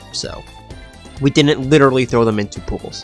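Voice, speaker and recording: Background music under a man speaking with normal pitch movement. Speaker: video game league commentator. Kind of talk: casual season review and award show narration. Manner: casual, joking.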